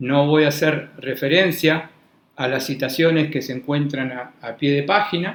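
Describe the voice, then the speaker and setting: This is a man's voice. His pitch is fairly high. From Argentina. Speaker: law professor. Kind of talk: lecture. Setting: university classroom, also streamed online. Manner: formal; hesitant, repeats words.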